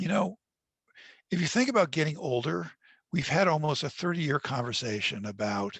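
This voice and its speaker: Long, frequent pauses break up a man's fairly high voice, which has vocal fry and very wide pitch swings. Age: 60s. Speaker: author. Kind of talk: webinar Q&A.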